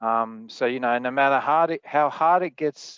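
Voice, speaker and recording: An Australian accent at a fairly slow pace, dry and close with no echo, against a quiet background. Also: man. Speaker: spirits producer, panelist. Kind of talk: panel discussion.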